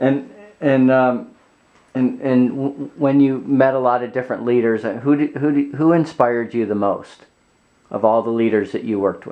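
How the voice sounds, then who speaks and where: This is an ordinary speaking voice, a man talking at a moderate pace with fairly even intonation. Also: medium pitch for a man. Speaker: interviewer. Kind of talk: interview questions.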